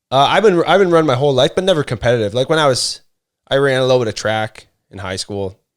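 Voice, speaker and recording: At a very fast pace and with lively intonation, a man at a medium pitch talks on a very clean recording with a silent background. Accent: Canadian. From Canada (Ontario). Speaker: former police officer and firefighter, runner. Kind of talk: podcast interview.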